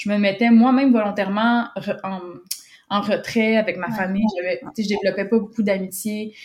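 A woman at a medium pitch, moving at a moderate pace with monotone, flat intonation and long, frequent pauses. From Quebec. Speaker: communications and business development professional. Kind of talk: testimony. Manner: halting, many repetitions and fillers.

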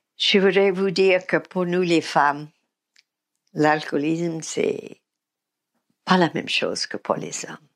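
This woman has an American accent and a fairly low pitch. Her intonation stays fairly even. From US South, Mississippi. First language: English (speaking French). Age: 80s+. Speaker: recovering alcoholic sharing her story. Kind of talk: testimony. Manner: halting.

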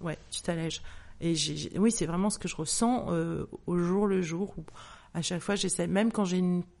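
Her dark, mellow tone and fairly low pitch carry at a moderate pace, as this woman keeps a fairly even intonation. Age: 50s. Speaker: author and menopause awareness account creator. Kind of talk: testimony.

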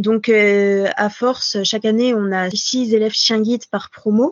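Fairly even intonation marks this woman's ordinary speaking voice, described as an ordinary speaking voice. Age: 20s. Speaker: veterinary student and guide dog foster carer. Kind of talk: casual interview. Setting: video call.

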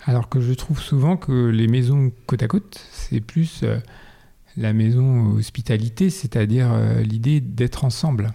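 This man's voice is somewhat breathy, with a dark, mellow tone. He talks at a fairly slow pace with ordinary pitch variation. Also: medium pitch for a man. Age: 40s. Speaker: ceramist and art director. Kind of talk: interview. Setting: at his home. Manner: halting.

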